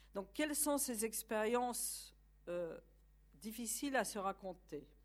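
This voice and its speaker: Speaking very slowly with a Polish accent, a woman uses lively intonation and vocal fry. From Poland. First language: Polish (speaking French). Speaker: university academic lecturer. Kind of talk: lecture.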